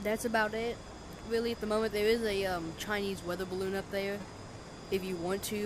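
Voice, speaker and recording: Over noticeable background noise, a woman talks at a very fast pace with a medium pitch and ordinary pitch variation. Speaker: gaming youtuber. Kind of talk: gameplay tutorial. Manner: casual, halting with fillers.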